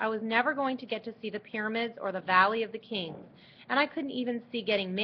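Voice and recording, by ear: Natural-voiced reading aloud, pitch varying in an ordinary way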